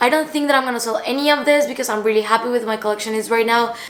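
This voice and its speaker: Against noticeable background noise, a woman with a non-native accent speaks at a fairly high pitch. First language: not English. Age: 20s. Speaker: fashion vlogger. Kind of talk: haul and collection vlog.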